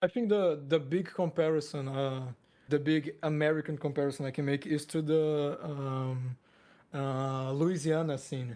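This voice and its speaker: In a Portuguese accent, a man speaks at a fairly high pitch with a dark, mellow tone. His pace is fairly slow and his intonation fairly even. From Brazil, Porto Velho. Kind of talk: casual interview. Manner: halting.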